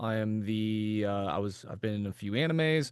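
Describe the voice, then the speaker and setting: A man talks with an American accent at a medium pitch. His pace is fairly slow, and the background is quiet. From US South, Florida (Jacksonville). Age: 30s. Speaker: voice actor. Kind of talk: casual chat. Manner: halting, many fillers.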